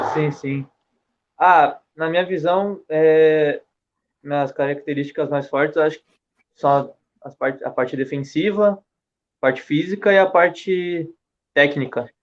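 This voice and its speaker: A man speaks at a fairly slow pace with fairly high pitch and fairly even intonation. His loudness swings widely, and he takes long, frequent pauses. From Japan (Brazilian raised in Ibaraki). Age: young. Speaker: young footballer. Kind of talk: casual chat.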